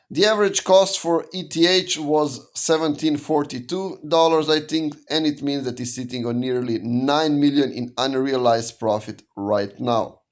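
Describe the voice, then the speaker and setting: In a quiet background, a man with a non-native accent speaks at a moderate pace and fairly high pitch with ordinary pitch variation. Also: hardly any pauses. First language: not English. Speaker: crypto news YouTuber. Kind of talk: casual market news update. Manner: conversational with fillers and self-corrections.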